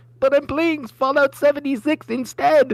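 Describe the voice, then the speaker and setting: A squeaky, high put-on character voice speaks at a moderate pace. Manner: sheepish, defensive.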